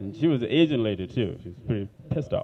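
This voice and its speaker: A man speaks with an African accent. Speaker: stand-up comedian. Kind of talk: stand-up. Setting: comedy club stage with audience.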